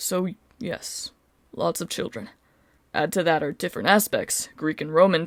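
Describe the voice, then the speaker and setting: Putting on a gruff, rumbling character voice, a woman speaks at a moderate pace and fairly low pitch with long, frequent pauses. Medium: read story. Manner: gruff, grumbling.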